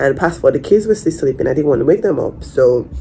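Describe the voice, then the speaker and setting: Someone with a Nigerian accent talks at a very fast pace against noticeable background noise. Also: woman. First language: Nigerian Pidgin. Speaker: vlogger. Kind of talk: personal story vlog. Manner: halting.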